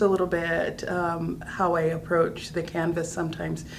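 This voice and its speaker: Noticeable background noise and audible room echo fill the recording. The woman talks at a moderate speed. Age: 60s. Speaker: artist. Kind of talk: casual chat.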